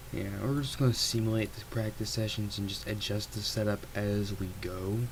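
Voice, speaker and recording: A quiet man is heard over noticeable background noise, with audible echo from the room. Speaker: gaming streamer. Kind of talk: live gameplay commentary. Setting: at home at night, family asleep. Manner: deliberately quiet, low volume; casual, filler-heavy.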